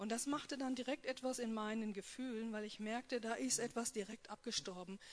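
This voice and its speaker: With an unremarkable speaking voice, a woman talks at a moderate pace and fairly high pitch, her pitch varying in an ordinary way. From North Rhine-Westphalia. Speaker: post-abortion support worker. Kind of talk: personal testimony and talk.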